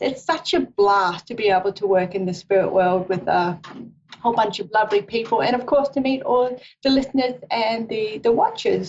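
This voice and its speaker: A woman with an Australian accent talks at a fairly high pitch. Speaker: psychic reader. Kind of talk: live psychic radio show introduction. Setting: live stream with camera.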